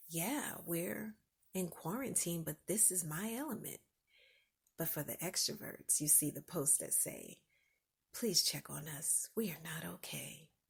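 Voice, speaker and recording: A woman speaks with a relaxed, calm tone, a fairly low pitch, and vocal fry. Her pitch variation is ordinary, and the recording is very clean with a silent background. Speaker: podcast host. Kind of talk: casual podcast monologue. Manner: soft-spoken.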